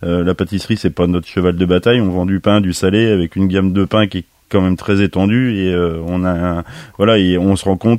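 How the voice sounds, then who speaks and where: A very deep, low-pitched man at a fairly quick pace, with fairly even intonation. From France, Nièvre. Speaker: master baker and bakers' union head. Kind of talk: radio interview. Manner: halting.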